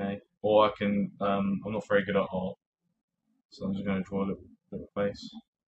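This man speaks at a fairly quick pace with a fairly low pitch, his intonation monotone and flat. Long pauses break up his speech often. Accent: British. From UK. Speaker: tech tutorial YouTuber. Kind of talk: tutorial. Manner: casual with frequent fillers and hesitations.

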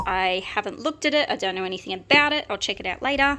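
A woman talks with lively intonation in a bright, sharp tone. Noticeable background noise runs underneath. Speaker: online reseller. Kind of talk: casual haul show-and-tell. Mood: upbeat, enthusiastic. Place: home room. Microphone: phone near.

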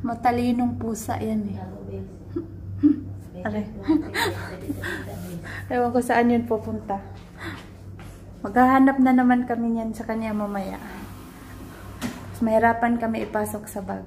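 A woman speaks at a fairly slow pace with long, frequent pauses. Light background noise can be heard. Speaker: vlogger. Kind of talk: casual vlog chat. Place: home room. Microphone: phone near.

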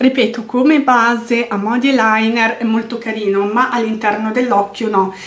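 Over noticeable background noise and audible room echo, a woman speaks in a fairly high pitch with monotone, flat intonation. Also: moderate pace, hardly any pauses. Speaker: beauty vlogger. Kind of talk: product review monologue.

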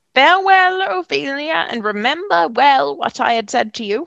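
A woman puts on a character voice, high-pitched with vocal fry, a fairly bright tone and lively intonation. She goes at a moderate pace in a dry, close sound with no echo.

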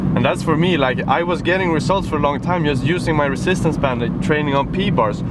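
Delivered at a moderate pace, the dry sound has no echo, though loud background noise is present. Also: man. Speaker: fitness vlogger. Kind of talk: casual vlog chat. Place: car.

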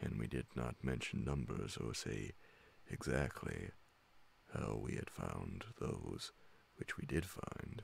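The voice has a slightly husky edge and vocal fry. It moves at a slow pace with lively intonation. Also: man.

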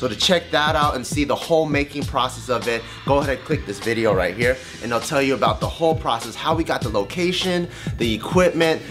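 Talking very fast, a man is heard with clear music playing behind him. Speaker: channel host. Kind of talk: end-card promo talk to camera. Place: home room.

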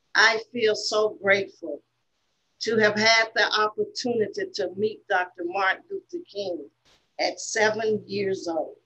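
Speaking slowly-ish against a quiet background, a woman uses a fairly high pitch and a bright, sharp tone. She has a Southern US accent and ordinary pitch variation at a fairly slow pace. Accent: US South. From Selma, Alabama; Alabama. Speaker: civil rights veteran and author; panelist. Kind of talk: prepared speech. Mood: earnest, reflective, impassioned. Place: office. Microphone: webcam.

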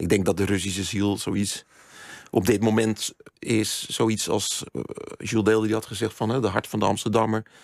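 A man speaks at a moderate pace in a fairly low, monotone, flat voice, the sound dry with no echo against a quiet background. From Netherlands, Zandvoort; Netherlands. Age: old. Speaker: writer and journalist; journalist. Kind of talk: radio interview. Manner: halting, many fillers and repeats. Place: studio. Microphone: studio mic.

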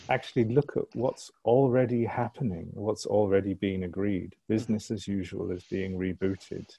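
A man speaks at a moderate pace in a somewhat breathy voice. His pitch varies in an ordinary way, and he hardly pauses. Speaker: Q&A host. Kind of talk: online Q&A. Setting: video call.

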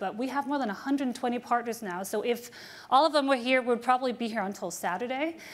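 At a very fast pace, a woman speaks in a high pitch with ordinary pitch variation. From Denmark. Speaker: diplomat and moderator. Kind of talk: panel moderation. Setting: stage with audience. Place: hall.

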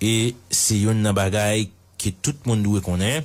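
A somewhat breathy man with a fairly low pitch speaks at a very slow pace. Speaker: news commentator. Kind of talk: news commentary.

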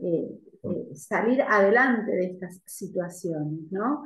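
Audible room echo surrounds a woman who speaks at a very slow pace. Her voice is somewhat breathy, with very wide pitch swings. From Argentina. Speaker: university lecturer. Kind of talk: academic Q&A. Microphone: video call.

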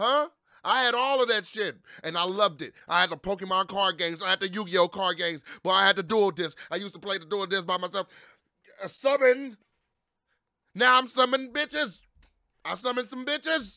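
Against a quiet background, a man speaks at a fairly quick pace in a raised, projected voice. His tone is bright and sharp, his intonation lively, and the sound dry with no echo. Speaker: streamer. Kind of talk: casual vlog chat. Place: home room. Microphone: studio mic.

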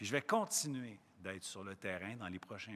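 Here a man speaks with a medium pitch. His intonation is lively and his pace moderate. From Quebec. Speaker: provincial education minister. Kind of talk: press conference. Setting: in a school. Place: hall. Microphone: podium.

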